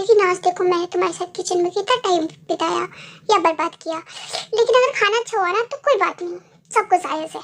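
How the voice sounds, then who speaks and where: A woman performs a put-on character voice at a fairly quick pace. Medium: fan dub.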